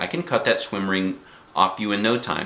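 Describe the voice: Putting on a character voice, a man speaks low at a moderate pace with ordinary pitch variation, a bright, sharp tone, vocal fry and audible room echo.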